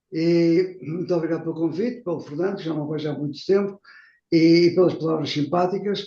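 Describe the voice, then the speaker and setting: A man's high-pitched voice, dark and mellow in tone, with fairly even intonation. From Portugal. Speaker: professor, guest lecturer. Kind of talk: lecture. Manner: fast.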